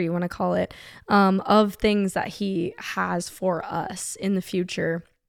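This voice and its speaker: A woman's medium-pitched voice with an American accent, fairly slow and fairly even in intonation, in a very clean recording with a silent background. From California, San Diego. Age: 20s. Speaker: finance analyst and podcast guest. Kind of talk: casual chat.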